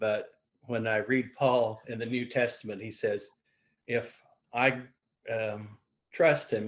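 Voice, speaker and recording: A man with an American accent, medium pitch and fairly even intonation. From US Midwest, eastern Indiana. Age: 60s. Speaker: retired church member. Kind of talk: testimony.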